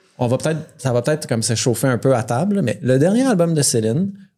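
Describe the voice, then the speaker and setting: In a very clean recording with a silent background, a man speaks at medium pitch with a dark, mellow tone. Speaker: podcast host. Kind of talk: casual chat. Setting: bar with live audience.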